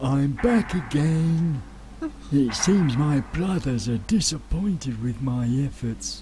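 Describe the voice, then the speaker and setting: A put-on character voice at a low-to-middle pitch, fairly slow, over clear background noise. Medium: video game. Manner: nervous, hushed.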